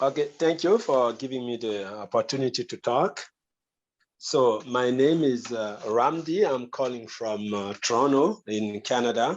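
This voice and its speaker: A man at medium pitch with a French accent talks at a fairly slow pace over a quiet background. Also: ordinary pitch variation. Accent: French, non-native English. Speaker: meeting participant asking a question. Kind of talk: question at online meeting. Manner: halting.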